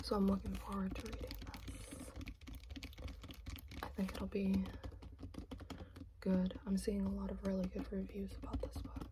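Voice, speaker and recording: Whispering and soft-spoken, the speaker keeps a moderate pace with long, frequent pauses over noticeable background noise. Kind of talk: ASMR book haul talk. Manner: soft-spoken, whispered.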